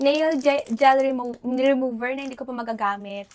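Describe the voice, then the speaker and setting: A woman talks fairly slowly in a high pitch, with ordinary pitch variation. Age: 20s. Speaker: beauty vlogger. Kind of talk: casual unboxing vlog. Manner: animated.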